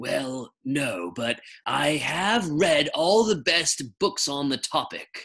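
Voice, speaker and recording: Using a put-on character voice, a man speaks in a breathy, fairly high pitch. His pace is very slow, and the background is quiet. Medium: read story. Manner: polite, formal.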